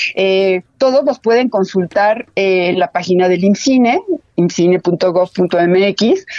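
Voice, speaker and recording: A woman speaks very slowly at medium pitch, with ordinary pitch variation and very even loudness. The sound is dry and close, with no echo. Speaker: film director and film institute head. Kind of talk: radio interview. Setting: phone call. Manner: halting.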